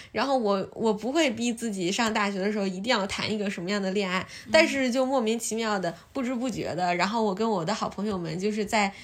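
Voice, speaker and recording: Talking at a fairly quick pace, a woman uses an ordinary speaking voice with a fairly high pitch and ordinary pitch variation. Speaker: podcast host. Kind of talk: casual chat. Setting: at friend's home.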